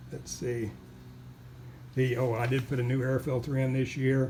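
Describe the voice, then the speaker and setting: There is audible room echo around a man's somewhat breathy, medium-pitched voice at a moderate pace. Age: 70s. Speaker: car owner selling his car. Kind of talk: walkaround video tutorial. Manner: halting, many fillers.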